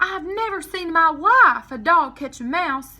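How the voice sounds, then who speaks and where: A woman's put-on character voice, extremely high-pitched, raised and projected, with lively intonation at a moderate pace. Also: big swings in loudness. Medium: read story.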